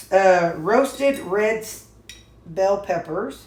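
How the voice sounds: With ordinary pitch variation, a woman speaks amid audible room echo.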